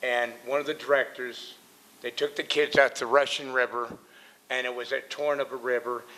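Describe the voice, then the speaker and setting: With an American accent, a man at medium pitch speaks at a fairly quick pace in a monotone, flat intonation. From Northern California, US. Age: 60s. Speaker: member of the public speaking at hearing. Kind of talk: public comment at council meeting.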